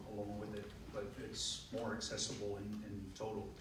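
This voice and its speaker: A man with a Dutch accent speaks at a moderate pace and a medium pitch. Noticeable background noise and audible room echo are present. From Netherlands. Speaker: radiologist. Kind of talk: audience question at panel discussion.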